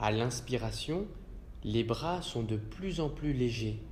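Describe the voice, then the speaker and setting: At a medium pitch, a man talks at a very slow pace in a calm, soothing tone. His voice is somewhat breathy. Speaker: yoga nidra guide. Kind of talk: guided relaxation / yoga nidra session. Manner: calm, slow, soothing.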